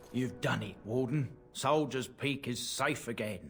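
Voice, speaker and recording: In a raspy put-on character voice, a man talks at a fairly slow pace in a medium pitch, over clear background noise. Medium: video game. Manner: blunt.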